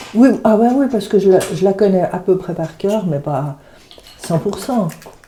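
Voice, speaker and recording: Noticeable background noise sits behind a woman speaking at medium pitch. She talks fairly slowly with ordinary pitch variation. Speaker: retired translator. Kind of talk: casual chat. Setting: at home, cooking.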